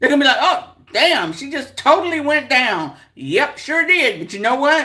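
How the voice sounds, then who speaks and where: A woman with a bright, sharp tone speaks at a moderate pace, sounding animated as her pitch swings very widely. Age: 60s. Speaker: livestream host. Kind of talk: casual chat. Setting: livestream.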